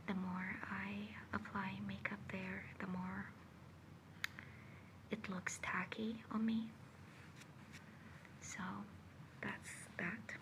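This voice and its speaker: Over noticeable background noise, a woman speaks in a calm tone at a very slow pace, with long, frequent pauses. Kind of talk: ASMR personal attention roleplay, makeup routine. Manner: soft-spoken, calm.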